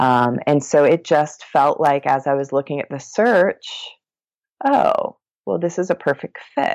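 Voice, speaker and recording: This woman speaks with a Midwestern accent. Her pace is fairly slow. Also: dry, close sound with no echo. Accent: General American (Midwest). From US Midwest, Columbus, Ohio. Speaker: meditation podcast host and hypnotherapist. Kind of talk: casual interview chat.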